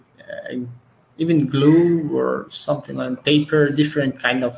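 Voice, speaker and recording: This is a man speaking. He has a Portuguese accent. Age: 20s. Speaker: police officer. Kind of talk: casual chat. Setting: video call. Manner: halting.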